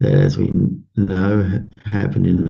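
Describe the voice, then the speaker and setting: Using vocal fry, a man speaks at a fairly low pitch and a moderate pace. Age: 60s. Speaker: pastor. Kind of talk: morning devotion talk. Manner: halting with many fillers.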